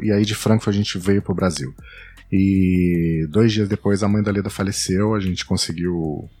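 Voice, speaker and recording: The man has an ordinary speaking voice with fairly even intonation. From São Paulo state, Brazil. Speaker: travel blogger and podcaster. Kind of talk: casual interview chat.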